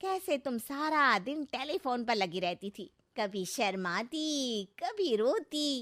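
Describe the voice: Putting on a character voice, a woman speaks slowly in a fairly bright tone with big pitch swings. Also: fairly high pitch for a woman.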